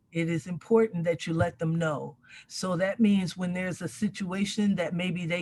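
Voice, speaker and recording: A woman speaks at a moderate pace, her medium-pitched voice somewhat breathy, with ordinary pitch variation. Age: 60s. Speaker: community elder and mentor. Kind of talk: panel discussion.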